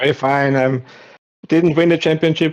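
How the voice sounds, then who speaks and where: A man speaks with a non-native accent and fairly even intonation. The background is quiet. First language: not English. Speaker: sim racing champion driver. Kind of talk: post-race interview. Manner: halting.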